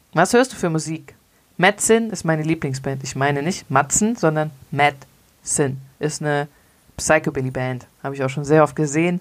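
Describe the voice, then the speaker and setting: A woman with a very deep, low voice speaks at a moderate pace, her pitch varying in an ordinary way. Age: 30s. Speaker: zero waste podcaster. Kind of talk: casual solo monologue answering listener questions.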